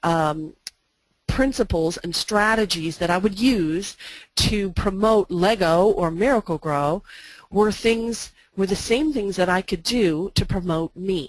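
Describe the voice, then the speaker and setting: This woman has a normal speaking voice, medium in pitch with ordinary pitch variation, and she talks at a fairly slow pace. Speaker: branding consultant and presenter. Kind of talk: webinar presentation. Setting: online webinar.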